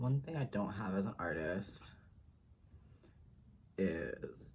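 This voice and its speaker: Soft-spoken, the voice moves at a very slow pace. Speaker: drag performer. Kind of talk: ASMR makeup tutorial talk.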